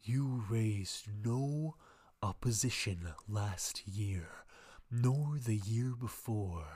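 A put-on character voice, low in pitch, at a very slow pace. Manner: disgusted, cold.

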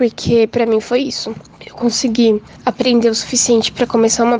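A woman speaks at a high pitch and a moderate pace. There is noticeable background noise. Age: 20s. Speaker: technical writer. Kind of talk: testimony.

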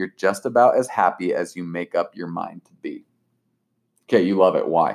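The sound is dry and close, with no echo. A man talks at a moderate pace, his loudness swinging widely. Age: 20s. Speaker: podcast guest, host's cousin by marriage. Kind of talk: casual chat. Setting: home kitchen table, one shared mic.

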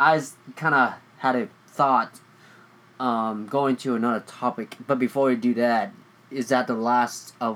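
A man with a Vietnamese accent speaks at a fairly slow pace in a medium pitch. His intonation is fairly even, with long, frequent pauses. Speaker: podcast co-host. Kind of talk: casual chat.

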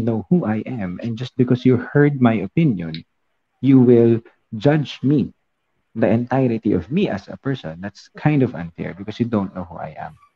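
Moderately paced, a man uses a normal speaking voice at a medium pitch with lively intonation. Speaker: podcast co-host. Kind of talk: casual chat. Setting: live stream.

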